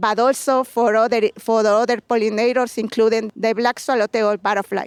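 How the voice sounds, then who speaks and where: Fairly quick, monotone speech from a woman with a Mexican accent, fairly high in pitch, with flat intonation, very even loudness, and a dry, close sound with no echo. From Mexico, Puebla. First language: Spanish. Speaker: home gardener, butterfly sanctuary keeper. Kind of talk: interview. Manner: halting.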